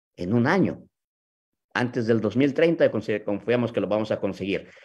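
With a Mexican accent and lively intonation, the speaker goes at a fairly slow pace against a quiet background. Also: man. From Mexico City. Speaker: sales leader hosting a video talk. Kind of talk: live video talk. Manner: halting. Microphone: video call.

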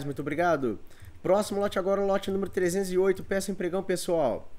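Speaking in an animated tone, a man talks at a high pitch. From Minas Gerais, Brazil. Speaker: online auctioneer. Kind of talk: live online auction, sales pitch. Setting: studio, live video stream. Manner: animated, chatty, repeats prices. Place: home room. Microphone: webcam.

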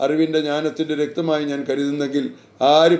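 A man's voice sits at a fairly high pitch with a dark, mellow tone. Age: 70s. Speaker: author and religious teacher. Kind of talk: reading aloud own book with commentary. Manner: halting, with frequent self-corrections.

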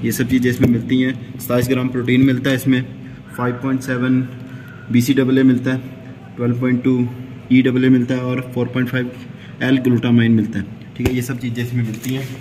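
With light background noise behind him, a man speaks at a moderate pace in a monotone, flat intonation, taking long, frequent pauses. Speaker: fitness vlogger. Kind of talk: casual vlog chat, unboxing. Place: gym. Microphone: phone near.

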